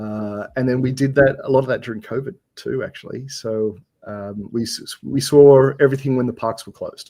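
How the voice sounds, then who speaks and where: A man with an Australian accent speaks at a moderate pace in a dark, mellow tone and a medium pitch. His intonation stays fairly even while his loudness swings widely. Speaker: software developer guest. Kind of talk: casual chat. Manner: halting, many fillers.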